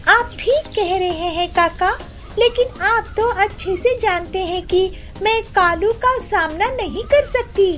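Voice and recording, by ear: A cartoonish character voice that sounds female, pitched extremely high, moves at a fairly slow pace over clear background noise.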